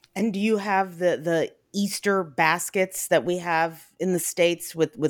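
An unremarkable speaking voice with fairly even intonation, on a very clean recording with a silent background. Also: woman. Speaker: podcast host and food blogger. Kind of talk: casual interview.

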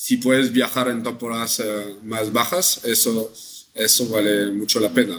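A man with a French accent, medium pitch, fairly even intonation and a fairly slow pace. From northern France. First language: French (speaking Spanish). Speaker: travel company sales director. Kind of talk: interview. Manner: halting.

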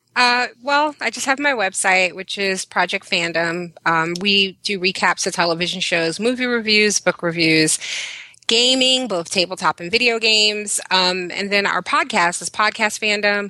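With an American accent, a woman speaks at a medium pitch and moderate pace. Her pitch varies in an ordinary way over noticeable background noise. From Brooklyn, New York. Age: 30s. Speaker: website blogger and reviewer. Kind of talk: casual chat.

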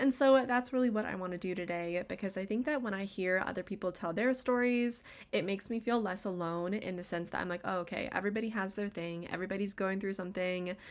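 A woman with an American accent at a medium pitch, very fast pace and ordinary pitch variation, in a very clean recording with a silent background. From US West, Las Vegas, Nevada. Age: 20s. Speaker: podcast host. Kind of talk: casual solo monologue.

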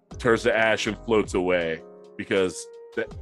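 A man speaks in a fairly low pitch with ordinary pitch variation. Music plays in the background. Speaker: game master narrating a tabletop roleplaying game.

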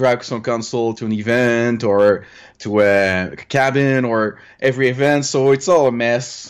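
With a Quebec accent, a man speaks at a fairly slow pace. His pitch is medium, with ordinary pitch variation. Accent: Québécois French. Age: 30s. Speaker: retro gaming hobbyist. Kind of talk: interview. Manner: halting.

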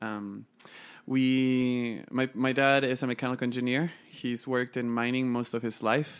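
A man with a Chilean accent speaks at a moderate pace and medium pitch with monotone, flat intonation in a very clean recording with a silent background. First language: Spanish. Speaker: podcast guest, nonprofit founder. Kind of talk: casual interview conversation, telling life story.

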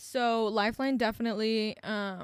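Monotone, flat intonation from a woman with a fairly high voice. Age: 20s. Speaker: podcast co-host. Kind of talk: casual chat. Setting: home studio set.

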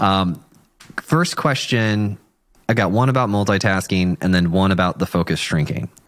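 An ordinary speaking voice from a man, fairly low in pitch, with a moderate pace, ordinary pitch variation and very even loudness. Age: 30s. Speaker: podcast host. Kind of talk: casual interview.

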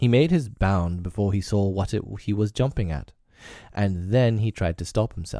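Natural-voiced reading aloud, its pitch rising and falling in an ordinary way.

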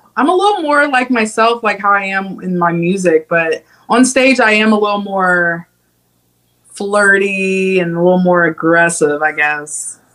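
Speaking at a fairly slow pace, a woman has a medium pitch, a bright, sharp tone and ordinary pitch variation. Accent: Midwestern American. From Ohio, Cincinnati. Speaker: singer-songwriter. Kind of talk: interview. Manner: hesitant, many fillers.

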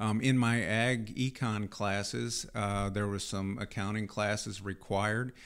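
In a very clean recording with a silent background, a man with an American accent speaks at a fairly slow pace and fairly low pitch, in a monotone, flat intonation with hardly any pauses. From Missouri, US Midwest. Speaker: accounting firm chief executive. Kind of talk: interview. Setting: studio. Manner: hesitant, many fillers.

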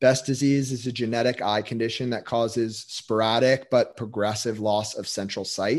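A man with an ordinary speaking voice talks in a medium pitch at a moderate pace, with hardly any pauses. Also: fairly even intonation. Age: 20s. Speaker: physical therapist and performance coach. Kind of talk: interview conversation.

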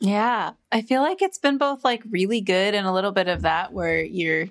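In a very clean recording with a silent background, a woman with a plain, everyday voice talks at a moderate pace at medium pitch, her intonation lively. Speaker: podcast producer and recording artist. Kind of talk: casual interview chat.

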